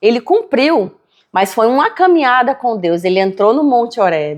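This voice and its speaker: In a northeastern Brazilian accent, a woman speaks at a moderate pace and very even loudness. Her pitch is fairly high, with very wide swings. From Brazilian Northeast (Natal, Rio Grande do Norte). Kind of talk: casual chat.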